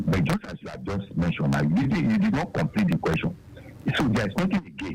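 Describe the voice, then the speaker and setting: A man races along at a very fast pace while noticeable background noise plays. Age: 60s. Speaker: caller. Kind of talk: phone-in question.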